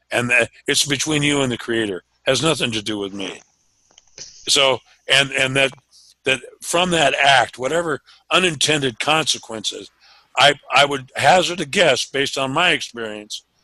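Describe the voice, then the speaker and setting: This man's voice is fairly high, with a bright, sharp tone and ordinary pitch variation. He talks at a moderate pace with long, frequent pauses. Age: 60s. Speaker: meeting participant, advocate. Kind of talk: group discussion. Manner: halting, repetitive.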